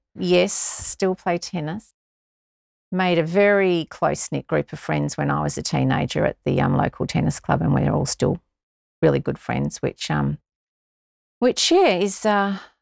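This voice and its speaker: A woman with an Australian accent at a fairly slow pace, dry and close with no echo. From Victoria, Australia. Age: 60s. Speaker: amateur runner. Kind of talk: interview.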